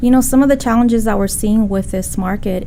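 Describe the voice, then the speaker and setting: A woman speaks with a Spanish accent. Noticeable background noise and audible room echo are present. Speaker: real estate broker. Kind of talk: interview.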